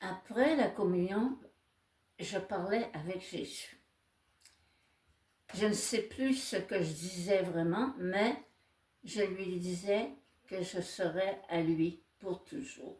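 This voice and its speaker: A somewhat breathy woman at a very slow pace, with long, frequent pauses. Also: medium pitch for a woman, ordinary pitch variation. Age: 80s+. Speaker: nun. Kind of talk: testimony.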